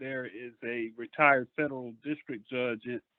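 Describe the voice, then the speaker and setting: Fairly slow speech from a man at medium pitch. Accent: South Carolina. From US South, Bishopville, South Carolina. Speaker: lawyer, audience member. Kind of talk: question-and-answer remarks. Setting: phone call. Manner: halting.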